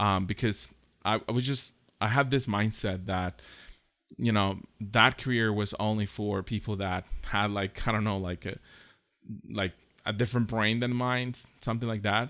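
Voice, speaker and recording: Recorded very cleanly with a silent background, a man with a Costa Rican accent speaks at a moderate pace in a fairly low, bright, sharp voice, pausing long and often. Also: fairly even intonation. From southern Costa Rica. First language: Spanish. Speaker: podcast host, graphic designer. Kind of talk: personal story monologue. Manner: halting, many fillers and repetitions.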